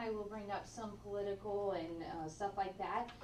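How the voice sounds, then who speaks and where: This woman talks at a moderate pace in a medium pitch. Some room echo can be heard. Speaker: social worker and geriatric mental health therapist. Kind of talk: lecture. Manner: animated.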